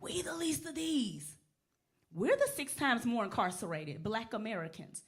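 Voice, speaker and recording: A woman's fairly high, somewhat breathy voice at a moderate pace, animated in tone, with very wide pitch swings. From Nashville, Tennessee (East Nashville). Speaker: lawyer. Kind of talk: interview. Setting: chapel with audience.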